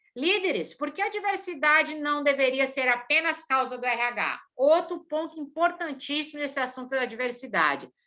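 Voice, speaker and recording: A woman's raised, projected voice, high-pitched and bright and sharp in tone, with ordinary pitch variation at a moderate pace. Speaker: organizational consultant and lecturer. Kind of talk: lecture. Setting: video call. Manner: energetic.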